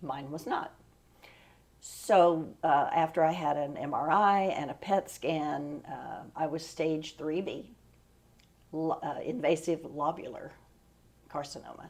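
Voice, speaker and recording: Very deep and low, a woman's voice with an American accent moves at a very slow pace with fairly even intonation and long, frequent pauses. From Oklahoma, US. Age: 70s. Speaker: retired teacher, cancer survivor. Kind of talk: interview testimony.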